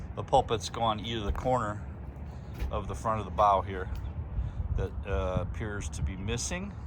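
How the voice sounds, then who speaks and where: Lively in intonation, a man speaks at a moderate pace and a fairly low pitch. Noticeable background noise and audible room echo surround him. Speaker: sailing vlogger and boat owner. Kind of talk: casual video walkthrough. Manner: hesitant, many fillers.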